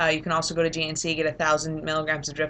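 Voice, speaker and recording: Very deep and low in pitch for a woman, her voice has a bright, sharp tone. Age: 20s. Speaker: vlogger sharing fertility journey. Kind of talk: casual personal vlog. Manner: rambling, many fillers.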